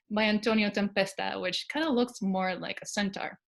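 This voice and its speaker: A woman with a Spanish accent talks at a moderate pace. Her voice is somewhat breathy and fairly high in pitch. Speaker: archaeologist. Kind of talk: lecture. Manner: hesitant fillers.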